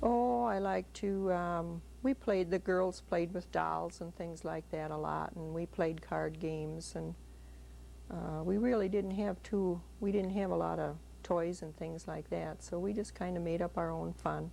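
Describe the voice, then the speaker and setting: A woman with a Wisconsin accent at a fairly slow pace. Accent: Upper Midwest (Wisconsin). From US Midwest, Sauk City, Wisconsin. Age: 50s. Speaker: grandmother interviewed for family history. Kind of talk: family interview.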